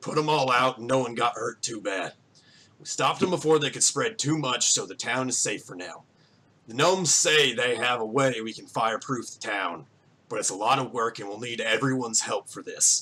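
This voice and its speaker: Putting on a gruff character voice, a man speaks at a medium pitch and a moderate pace. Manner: reassuring, informative.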